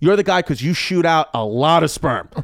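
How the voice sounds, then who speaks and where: A man's high, lively voice in a New York accent, dry and close with no echo, on a very clean recording with a silent background. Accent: New York accent, noticeable. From New York, Brooklyn. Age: 30s. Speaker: comedian. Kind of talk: casual chat.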